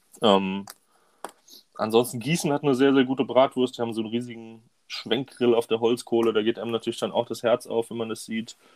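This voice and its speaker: A man with a normal speaking voice talks at a fairly quick pace with fairly even intonation, in a dry, close sound with no echo. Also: medium pitch for a man. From Hunsrück, western Germany. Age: 20s. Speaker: women's football coach. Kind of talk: casual chat.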